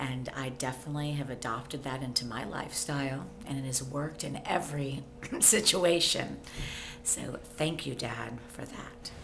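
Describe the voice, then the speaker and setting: A woman talks at a moderate pace with a very deep, low pitch and ordinary pitch variation. Music plays in the background, and room echo is audible. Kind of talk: casual chat.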